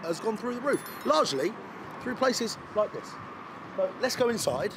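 Noticeable background noise sits behind a man's voice. He talks fairly quickly with lively intonation. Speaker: food reviewer. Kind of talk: casual vlog chat. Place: street.

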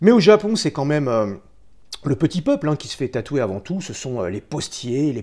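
Over a quiet background, a man with a fairly high pitch and a dark, mellow tone talks at a moderate pace, his voice making very wide pitch swings and showing vocal fry. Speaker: tattoo artist; history documentary host. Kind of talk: scripted narration. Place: home room.

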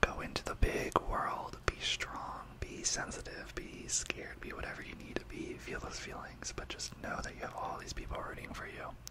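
A soft-spoken voice with a warm tone moves at a moderate pace with hardly any pauses, over loud background noise. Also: man. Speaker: ASMR creator. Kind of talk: soft-spoken ASMR talk to viewers. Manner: soft, warm, close-mic ASMR voice. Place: home room. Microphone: studio mic.

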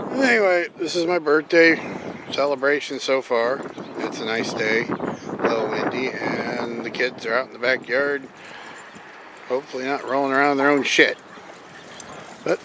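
A man with ordinary pitch variation and long, frequent pauses, over noticeable background noise. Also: moderate pace, dry sound with no echo. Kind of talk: casual vlog chat. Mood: affectionate, relaxed. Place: garden. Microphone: phone near.

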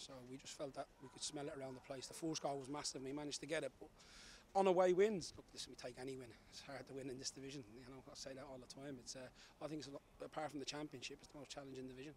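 This man speaks very fast at a medium pitch, his tone slightly mellow and his intonation fairly even.

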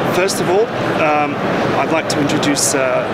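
Loud background noise sits under this recording. A man talks at a moderate pace with ordinary pitch variation. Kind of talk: interview answer. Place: hall.

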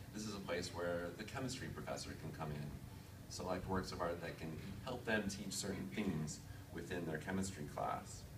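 A man's very deep, low voice at a moderate pace, with ordinary pitch variation and noticeable background noise. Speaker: museum digital initiatives manager. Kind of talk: conference presentation. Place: meeting room. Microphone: podium.

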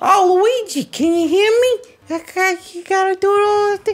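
The pace is fairly slow. A put-on character voice speaks at an extremely high pitch. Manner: warm, chatty, relieved.

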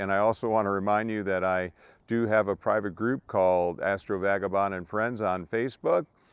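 In an ordinary speaking voice, a man talks at a moderate pace with a fairly low pitch and fairly even intonation, with a dry sound with no echo and a quiet background. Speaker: amateur astronomer vlogger. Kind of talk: casual vlog chat. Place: open country.

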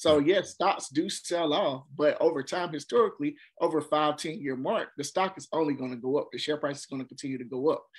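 A man talks at a fairly quick pace with hardly any pauses, in a fairly high pitch with ordinary pitch variation. His loudness swings widely, against a quiet background. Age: 30s. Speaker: investor and entrepreneur. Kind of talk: casual chat interview. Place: home room. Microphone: webcam.

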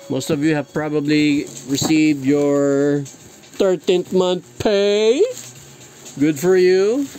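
Over faint music in the background, a man speaks slowly with a fairly high pitch, fairly even intonation and a dark, mellow tone.

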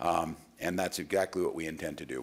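A man's very deep, low voice with vocal fry at a very fast pace. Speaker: politician giving statement. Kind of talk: prepared statement to press. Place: hall. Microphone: podium.

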